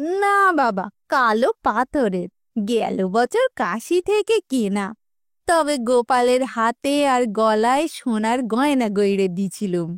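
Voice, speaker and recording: In a put-on character voice, a woman speaks shrill and high at a very slow pace, with very wide pitch swings and very even loudness. The recording is very clean, dry and close, with no echo and a silent background. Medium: read story. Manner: rustic dialect, emotional and bossy.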